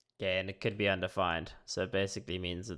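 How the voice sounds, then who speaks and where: A man talks at a fairly quick pace in a very deep, low pitch. The recording is very clean with a silent background. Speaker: software developer streaming coding. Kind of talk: live coding tutorial. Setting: live stream. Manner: casual, hesitant with many fillers; mumbling.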